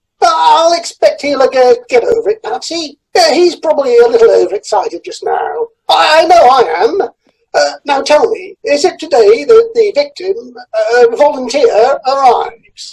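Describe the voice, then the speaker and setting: Using a put-on character voice, the speaker goes high in pitch with very wide pitch swings at a moderate pace. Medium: audio drama. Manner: hesitant, full of "uh" fillers.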